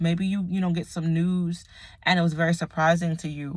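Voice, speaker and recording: A woman speaks at a moderate pace in a fairly low, somewhat breathy voice with monotone, flat intonation. The recording is very clean, with a silent background. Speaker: tarot reader. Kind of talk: tarot reading monologue. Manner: casual, filler-heavy.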